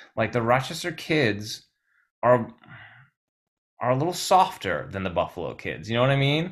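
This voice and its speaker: A man with an American accent speaks at a medium pitch with very wide pitch swings and vocal fry. Long pauses come often. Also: moderate pace, very clean recording, silent background. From Brooklyn, New York. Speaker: musician. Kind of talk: casual interview chat.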